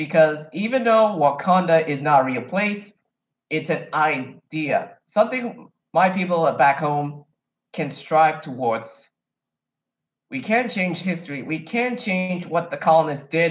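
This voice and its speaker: With an American accent, a man speaks fairly slowly at a fairly high pitch, his tone animated and his intonation lively. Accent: sounds American rather than Kenyan. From Kenya. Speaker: YouTuber, film reviewer. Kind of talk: casual vlog commentary.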